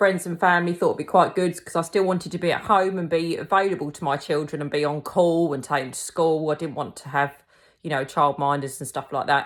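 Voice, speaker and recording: A woman's fairly low voice with a Kent accent, fairly quick and fairly even in intonation, with big swings in loudness, on a very clean recording with a silent background. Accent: Kentish. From England, Kent (Tenterden). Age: 40s. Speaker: cake decorating teacher and small business owner. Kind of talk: casual personal introduction. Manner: casual, many fillers (um).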